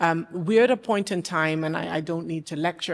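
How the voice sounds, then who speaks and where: This woman has a fairly low-pitched voice and speaks at a moderate pace. The recording is very clean, with a silent background. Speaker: policy advisor at ministerial panel. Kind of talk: panel remarks. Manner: loud.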